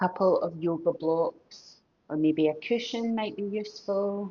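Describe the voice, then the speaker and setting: Using lively intonation, a woman with a Scottish accent speaks at a very slow pace. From Scotland. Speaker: yoga teacher. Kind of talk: guided yoga class instruction. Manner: gentle, calm.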